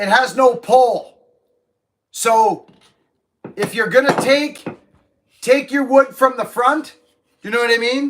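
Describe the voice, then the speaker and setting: Loud shouting comes at a very slow pace, with long, frequent pauses and ordinary pitch variation. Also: man, extremely high pitch for a man. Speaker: livestreamer, tree climber/arborist. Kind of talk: casual live stream chat reading comments. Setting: livestream from home. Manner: animated.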